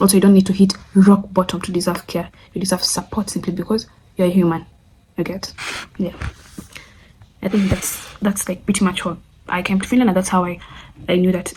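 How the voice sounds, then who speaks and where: A woman talks at medium pitch and a fairly quick pace, with long, frequent pauses. Her intonation is monotone and flat. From Kenya. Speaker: friend of the channel owner, guest. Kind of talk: casual Q&A vlog.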